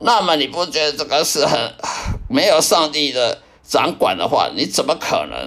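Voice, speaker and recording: This man talks at a middling speed. Clearly audible noise fills the background. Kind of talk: personal testimony. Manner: halting, with repetitions and fillers.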